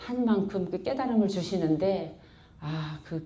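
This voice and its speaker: Heard with audible room echo, a woman with a dark, mellow tone speaks at a very slow pace using ordinary pitch variation. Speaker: church member giving testimony. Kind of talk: testimony. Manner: blunt, rough-toned.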